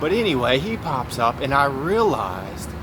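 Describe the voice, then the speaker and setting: Fairly high male speech, with audible room echo and noticeable background noise. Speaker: vlogger. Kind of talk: casual monologue. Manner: fast; halting.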